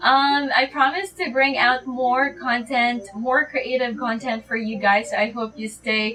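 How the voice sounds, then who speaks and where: A woman's high voice, fairly slow in pace with ordinary pitch variation, against noticeable background noise. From Philippines. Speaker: beauty vlogger. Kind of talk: casual vlog outro. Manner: hesitant, with fillers.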